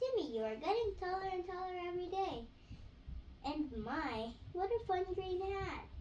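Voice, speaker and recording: A woman puts on a squeaky character voice at an extremely high pitch, with very wide pitch swings. She keeps a moderate pace, and background noise is clearly heard. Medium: read story. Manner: chirpy, teacherly.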